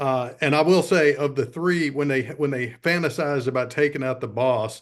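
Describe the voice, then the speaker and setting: A man speaks at a moderate pace with a Southern US accent, medium pitch and ordinary pitch variation, against a quiet background. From US South. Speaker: film review podcast co-host. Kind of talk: casual chat.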